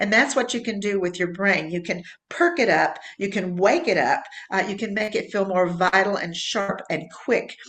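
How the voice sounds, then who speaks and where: Against noticeable background noise, a woman speaks at a medium pitch and moderate pace in an animated tone with ordinary pitch variation. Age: 70s. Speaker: fitness program creator and instructor. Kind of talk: interview.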